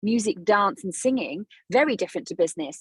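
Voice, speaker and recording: A woman with a South London accent speaks in an animated, somewhat breathy voice at a fairly quick pace, her fairly high pitch making very wide swings, with a dry, close sound and no echo. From South London, England. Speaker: business coach, former dancer. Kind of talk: podcast interview.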